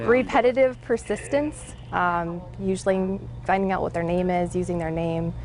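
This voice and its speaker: A woman speaks in a calm tone. Her voice is soft-spoken. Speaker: 911 dispatcher. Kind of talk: interview.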